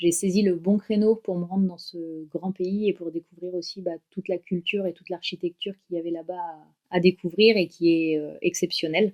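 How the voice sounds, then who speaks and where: Recorded dry and close with no echo, a woman at medium pitch speaks at a moderate pace in a monotone, flat intonation with hardly any pauses. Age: 30s. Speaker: dog owner and traveller. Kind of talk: podcast interview. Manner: hesitant, many fillers.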